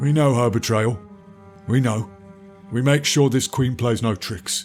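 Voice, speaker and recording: At a moderate pace, a man at medium pitch does a put-on character voice over clear background music. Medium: audio drama. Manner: grave, terse.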